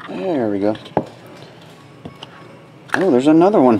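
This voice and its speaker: Moderate-paced speech from a man amid light background noise. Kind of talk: live box break commentary. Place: studio.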